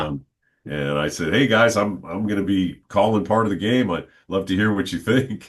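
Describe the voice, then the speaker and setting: A man's ordinary speaking voice, fairly low in pitch, with ordinary pitch variation and a moderate pace. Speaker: stadium public address announcer. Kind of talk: interview answer, casual conversational.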